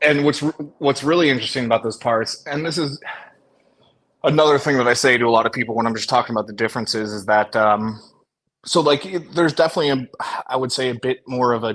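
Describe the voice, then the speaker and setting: A man speaks very fast with an American accent, his pitch medium. His pitch varies in an ordinary way, broken by long, frequent pauses. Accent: American accent noticed by locals abroad. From USA. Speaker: US expat. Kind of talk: casual chat.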